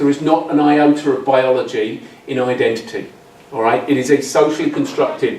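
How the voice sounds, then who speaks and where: Noticeable background noise and audible room echo surround this recording. A man with an English accent speaks at a moderate pace in a fairly high pitch. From England. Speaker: academic, social anthropologist. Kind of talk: conference talk. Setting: symposium with audience. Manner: halting, many fillers and repetitions.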